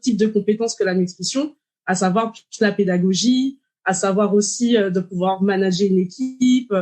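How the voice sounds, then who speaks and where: With a normal speaking voice, this woman holds a medium pitch and varies it in an ordinary way. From Martinique. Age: 30s. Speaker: dietitian. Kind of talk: podcast interview.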